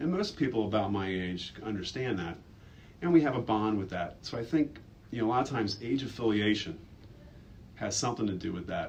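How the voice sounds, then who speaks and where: Amid audible room echo, a man with a fairly low pitch speaks at a fairly quick pace broken by long, frequent pauses. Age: 30s. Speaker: school staff member. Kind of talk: personal reflection in a school video.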